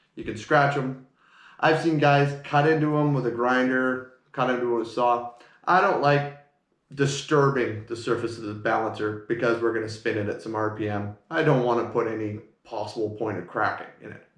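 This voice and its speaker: Ordinary pitch variation with audible room echo. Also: man, medium pitch for a man. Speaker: car mechanic. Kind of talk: tutorial. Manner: fast.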